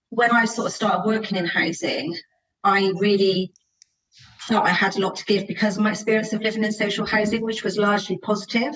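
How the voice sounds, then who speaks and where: The speech comes in a Bristol accent at a fairly quick pace. Its intonation is flat and monotone. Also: woman, fairly high pitch for a woman. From Bristol, England. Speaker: housing association chief executive. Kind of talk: podcast interview.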